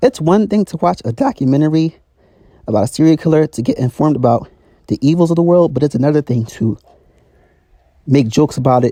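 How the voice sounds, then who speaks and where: Here a man with a dark, mellow tone and fairly high pitch talks at a very fast pace with lively intonation, yet leaves long, frequent pauses. The sound is dry and close, with no echo. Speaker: YouTuber. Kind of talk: rant / vlog monologue.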